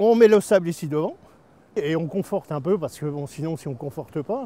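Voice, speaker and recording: Speaking at a moderate pace, a man has a dark, mellow tone. His intonation is lively. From northern France, Somme coast. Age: 60s. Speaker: local resident. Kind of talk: on-site interview.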